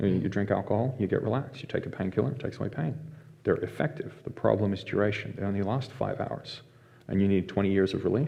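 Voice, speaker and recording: A man speaks very fast with a fairly low pitch and lively intonation. His voice is somewhat breathy. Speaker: mental health facilitator and violence prevention instructor. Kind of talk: casual interview.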